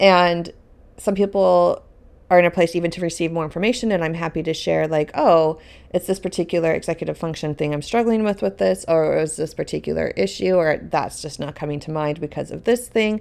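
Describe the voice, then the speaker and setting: Speaking at a fairly quick pace with ordinary pitch variation, this is an ordinary speaking voice. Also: woman, fairly low pitch for a woman. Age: 30s. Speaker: dance business coach and podcast host. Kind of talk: solo podcast monologue.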